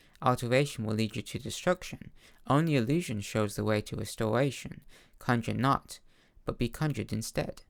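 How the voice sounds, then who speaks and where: Here a man with a normal speaking voice talks at a fairly quick pace, medium in pitch with ordinary pitch variation, on a very clean recording with a silent background. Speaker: amateur audiobook-style reader of video game lore books. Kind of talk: fantasy lore book reading / narration.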